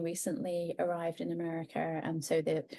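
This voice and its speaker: A woman speaks at a medium pitch with an English accent. Her tone is dark and mellow. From England. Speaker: author. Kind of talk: podcast interview.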